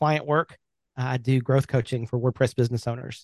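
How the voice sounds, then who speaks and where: A man's voice shows ordinary pitch variation in a dry, close recording with no echo. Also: quiet background. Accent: Alabama. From US South, Birmingham, Alabama. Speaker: web agency owner and WordPress coach. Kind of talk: casual interview chat.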